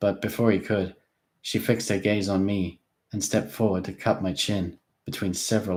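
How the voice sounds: A natural reading voice with fairly even intonation is heard over a quiet background.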